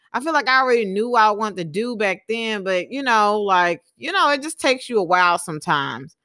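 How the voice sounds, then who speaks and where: On a very clean recording with a silent background, a woman with a Southern US accent talks at a moderate pace, her fairly high voice bright and sharp, her intonation lively. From US South, Alabama and Texas. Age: 20s. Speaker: podcast host and small business owner. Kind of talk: solo monologue podcast. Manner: casual, many filler words.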